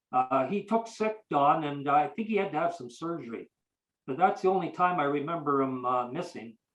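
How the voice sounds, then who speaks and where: With music in the background, a man with a Canadian accent talks at a moderate pace in a fairly high pitch with lively intonation. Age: 80s+. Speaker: retired sports reporter. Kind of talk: interview, storytelling. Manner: halting, many repetitions.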